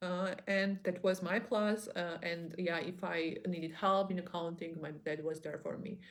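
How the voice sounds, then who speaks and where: A woman with a non-native accent speaks at a fairly low pitch, fairly slowly and with fairly even intonation, leaving hardly any pauses. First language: not English. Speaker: online business vlogger. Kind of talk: motivational monologue. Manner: halting.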